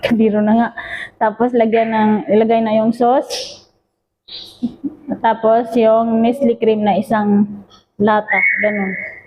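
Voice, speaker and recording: A somewhat breathy woman speaks fairly slowly in a monotone, flat intonation, her loudness very even and her speech broken by long, frequent pauses. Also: fairly high pitch for a woman. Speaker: cooking vlogger. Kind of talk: cooking tutorial vlog. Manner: halting, filler-heavy.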